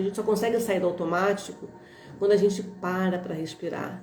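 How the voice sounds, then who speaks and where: Music plays in the background while a woman speaks at medium pitch. Her moderate pace comes through with audible room echo. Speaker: holistic therapist. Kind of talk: live stream talk. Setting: live stream.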